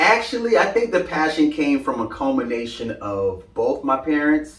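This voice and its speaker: Moderate pacing and very wide pitch swings in an American accent, over noticeable background noise. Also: man, fairly high pitch for a man. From Brooklyn, New York. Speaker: fashion content creator. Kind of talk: interview.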